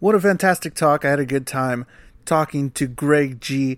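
A man's unremarkable speaking voice, fairly high in pitch, at a moderate pace on a very clean recording with a silent background. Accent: American. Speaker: podcast host and musician. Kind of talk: podcast interview.

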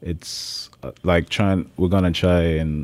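A man speaks with fairly even intonation. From Jamaica, Kingston. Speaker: chef. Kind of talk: interview. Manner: hesitant, many fillers.

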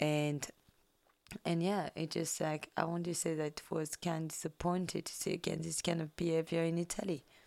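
Speaking in a French accent, a woman with a fairly low pitch keeps a moderate pace and monotone, flat intonation. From France.

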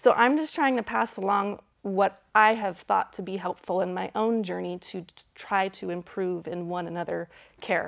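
In an ordinary speaking voice, a woman talks at medium pitch and a moderate pace with ordinary pitch variation. The recording is very clean, with a silent background. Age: 30s. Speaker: speaker and biblical counselor. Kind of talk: lecture.

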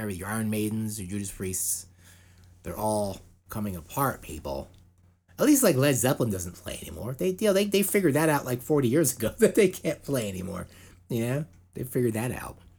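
The very clean recording, with a silent background, captures a man speaking at medium pitch. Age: 40s. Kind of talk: casual chat.

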